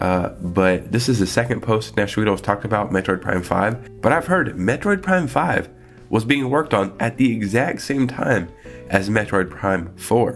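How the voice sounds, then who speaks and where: A man's fairly low voice with lively intonation, music playing in the background. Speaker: gaming news commentator. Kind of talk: casual talk to camera.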